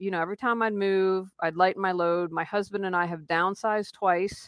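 A woman with an American accent speaks at a fairly quick pace, at medium pitch, in a normal speaking voice. The recording is very clean with a silent background and a dry, close sound with no echo. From West Virginia, Wheeling. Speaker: life coach and professional declutterer. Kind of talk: interview conversation.

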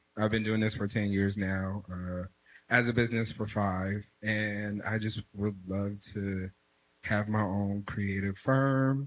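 At a very slow pace, a man speaks with a fairly low pitch and monotone, flat intonation. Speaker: audience member. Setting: stage with audience.

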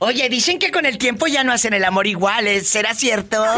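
Moderately paced speech is accompanied by noticeable background noise. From Mexico City. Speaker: radio host. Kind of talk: live call-in radio show. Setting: radio studio. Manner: animated.

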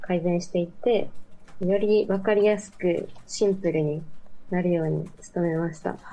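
A woman talks at a fairly slow pace and medium pitch. Her intonation is flat, a monotone. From Mie Prefecture, Japan. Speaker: university student. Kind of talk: remote interview. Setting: remote call.

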